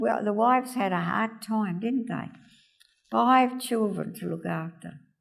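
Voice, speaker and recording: A woman with an Australian accent at a fairly slow pace. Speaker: oral history interviewee. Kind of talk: oral history interview, recalling family history.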